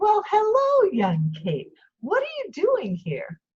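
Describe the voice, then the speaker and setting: A woman uses a put-on character voice that is squeaky, gentle in tone, and extremely high in pitch. She speaks at a fairly slow pace. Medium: read story. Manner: gentle but firm.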